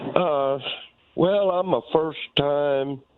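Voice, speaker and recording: Amid noticeable background noise, a man with a fairly high pitch speaks at a very slow pace. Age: 60s. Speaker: caller. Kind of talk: phone-in comment.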